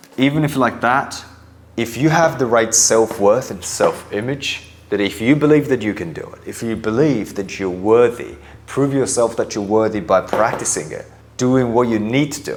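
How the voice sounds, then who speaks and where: Against noticeable background noise, a man speaks at medium pitch and a moderate pace. His pitch varies in an ordinary way, while his loudness swings widely. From Japan. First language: Japanese. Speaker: mindset coach. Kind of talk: motivational talk. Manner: emphatic.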